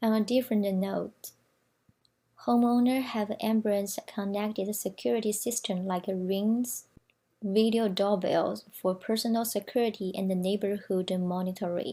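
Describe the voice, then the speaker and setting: Somewhat breathy and dark, mellow in tone, a woman with a Chinese accent speaks fairly slowly at a medium pitch with fairly even intonation. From China. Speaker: student presenter. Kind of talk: prepared presentation reading.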